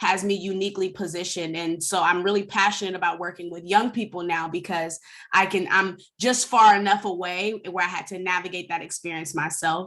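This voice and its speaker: With an American accent, a woman speaks at a medium pitch in a bright, sharp tone. Her pace is moderate and her intonation fairly even. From US West Coast, San Francisco Bay Area. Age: 30s. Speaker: anti-racism educator, former foster youth. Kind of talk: webinar presentation.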